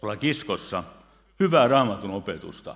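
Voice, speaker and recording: A man's pitch swings very widely as he speaks, with a quiet background behind him. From Finland. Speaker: pastor. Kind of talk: sermon. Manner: loud. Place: church. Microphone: podium.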